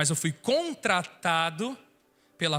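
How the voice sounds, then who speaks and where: Recorded very cleanly against a silent background, a man speaks in a high-pitched voice with a bright, sharp tone. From northern Paraná, Brazil (Londrina). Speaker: worship minister. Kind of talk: sermon. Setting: church.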